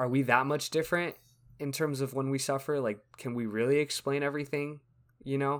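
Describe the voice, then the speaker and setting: In a very clean recording with a silent background, a man with a plain, everyday voice talks at a fairly quick pace, his pitch fairly high and his intonation fairly even. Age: 20s. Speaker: podcast co-host. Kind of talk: casual chat.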